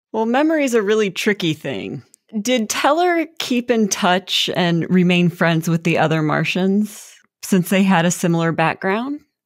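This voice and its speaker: Lively intonation marks this woman's medium-pitched voice at a moderate pace. It is an ordinary speaking voice. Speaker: podcast host. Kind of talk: interview conversation.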